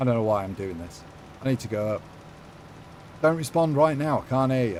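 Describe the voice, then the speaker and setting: A man's dark, mellow voice with an English accent and very wide pitch swings. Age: 50s. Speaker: gaming live streamer. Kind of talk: live stream chat while gaming. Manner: animated.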